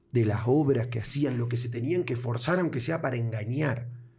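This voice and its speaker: A man with an Argentine accent speaks in a dark, mellow tone that is somewhat breathy. Audible room echo surrounds his voice. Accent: Argentine Spanish (Rioplatense). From Argentina. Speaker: podcast host. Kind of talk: interview conversation.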